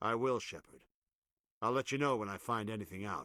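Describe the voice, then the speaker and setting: A man puts on a growling character voice at a medium pitch, talking fairly quickly. The recording is very clean, with a silent background. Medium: video game. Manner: stern, gruff.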